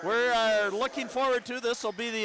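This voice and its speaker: Against noticeable background noise, a man speaks at a moderate pace in a high pitch. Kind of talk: live sports play-by-play commentary. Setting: gym, high school basketball game broadcast.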